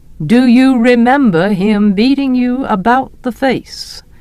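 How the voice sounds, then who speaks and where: Using a put-on character voice, a woman speaks at a fairly slow pace with a high pitch. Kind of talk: professional. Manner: dry, detached.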